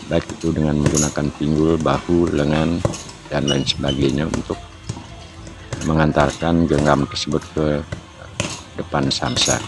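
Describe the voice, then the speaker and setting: Over music in the background, a man with a very deep, low pitch speaks at a fairly slow pace in a monotone, flat intonation, leaving long, frequent pauses. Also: very even loudness. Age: 60s. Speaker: martial arts trainer. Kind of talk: tutorial. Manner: hesitant, with filler sounds.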